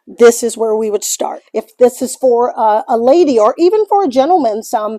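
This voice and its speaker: Music plays behind the speaker. The voice has an American accent and moves at a moderate pace. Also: woman. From US Midwest, St. Louis. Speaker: small business owner. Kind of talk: guided shop tour. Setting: shop studio. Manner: casual, with filler words.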